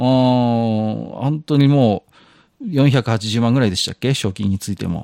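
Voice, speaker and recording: A man at medium pitch with a dark, mellow tone, ordinary pitch variation and a fairly slow pace, in a dry, close sound with no echo and a very clean recording with a silent background. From outside Kansai, Japan. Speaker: podcast co-host. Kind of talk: casual chat.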